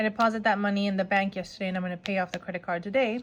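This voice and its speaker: A woman with a medium pitch speaks in a somewhat breathy voice with fairly even intonation. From Mexico. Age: 40s. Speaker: budgeting vlogger. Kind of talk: casual vlog tutorial.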